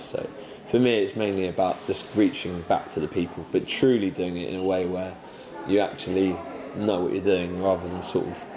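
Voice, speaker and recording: Over noticeable background noise, a man with a very deep, low pitch talks at a moderate pace. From southwest England (North Somerset, from age eight; early childhood in London). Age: 20s. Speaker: parliamentary candidate. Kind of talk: interview. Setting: coffee shop. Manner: hesitant, many fillers (um, sort of).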